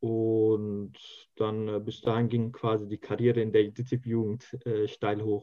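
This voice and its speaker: A man speaks very slowly in a fairly low, flat, monotone voice. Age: 20s. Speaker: youth association leader and student. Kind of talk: interview. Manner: hesitant, many filler sounds.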